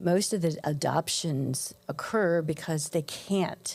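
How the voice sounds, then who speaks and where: A woman speaks with vocal fry at a fairly low pitch and ordinary pitch variation. Her pace is fairly slow. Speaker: podcast host. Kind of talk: interview talk.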